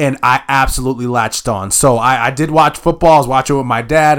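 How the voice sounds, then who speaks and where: A man with an ordinary speaking voice talks at a fairly quick pace and medium pitch, his intonation fairly even. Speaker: podcast host. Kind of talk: casual sports chat.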